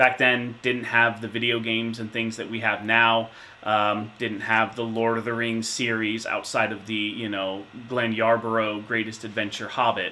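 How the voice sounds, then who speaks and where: A man at a moderate pace, in flat, monotone intonation. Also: medium pitch for a man. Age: 30s. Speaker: insurance manager, tabletop gamer interviewee. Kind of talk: interview answers. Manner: hesitant with fillers.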